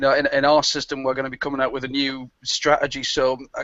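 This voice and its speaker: Someone talks rather quickly. Music can be heard underneath. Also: man. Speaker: online marketer. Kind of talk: live webinar discussion. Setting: live video hangout. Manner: fast.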